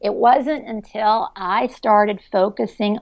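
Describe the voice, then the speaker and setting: Very slow, fairly even delivery from a woman, medium in pitch. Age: 50s. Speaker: business executive. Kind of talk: interview.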